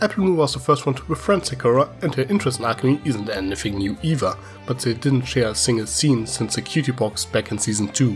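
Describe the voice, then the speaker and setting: With music in the background, a man with a European accent talks at a very fast pace and medium pitch, with very wide pitch swings and hardly any pauses. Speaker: cartoon reviewer. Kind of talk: video review commentary.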